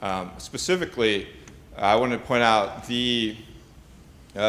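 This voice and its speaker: A man with an American accent at a moderate pace, amid audible room echo. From United States. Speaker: postgraduate student asking a question. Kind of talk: conference Q&A question. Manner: halting, many fillers.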